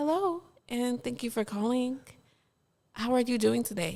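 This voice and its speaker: Here a woman speaks with an American accent. Her pitch is fairly high. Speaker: podcast co-host. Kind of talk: casual chat. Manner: polished, proper 'call center' style.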